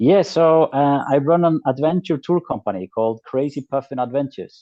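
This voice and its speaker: A man with an Icelandic accent speaks at a fairly high pitch. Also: ordinary pitch variation, moderate pace. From North Iceland. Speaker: adventure tour operator. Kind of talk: interview.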